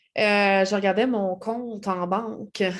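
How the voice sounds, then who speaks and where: Against a quiet background, a woman with a Quebec accent speaks at a medium pitch and a very slow pace. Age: 30s. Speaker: network marketing seller. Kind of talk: vlog self-introduction. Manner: hesitant, many fillers.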